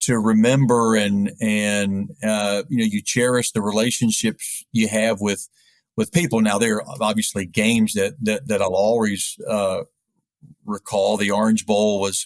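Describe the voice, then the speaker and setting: In a normal speaking voice, a man with an American accent talks at a fairly slow pace and fairly low pitch, with fairly even intonation, very even loudness, and a dry, close sound with no echo. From US South, East Tennessee (Knoxville). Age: 60s. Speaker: sports radio play-by-play announcer. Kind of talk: interview.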